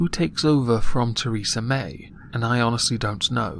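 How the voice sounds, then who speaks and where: With a British accent, a man speaks at a medium pitch. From United Kingdom. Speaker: political commentator. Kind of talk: political commentary monologue. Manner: monotone.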